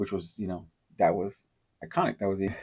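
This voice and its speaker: Mumbling at a fairly quick pace, a man speaks. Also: very clean recording, silent background. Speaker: podcast host. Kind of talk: casual monologue. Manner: halting, stutters and mumbles.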